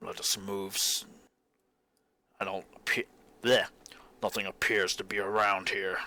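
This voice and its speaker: Putting on a raspy character voice at a fairly low pitch, a man talks at a moderate pace with long, frequent pauses. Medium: actual play. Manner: formal, solemn.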